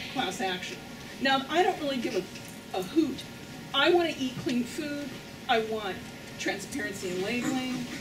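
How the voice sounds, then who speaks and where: Amid noticeable background noise and audible room echo, a woman with a high pitch and lively intonation leaves long, frequent pauses. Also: moderate pace. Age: 60s. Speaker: audience member, food activist. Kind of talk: audience question.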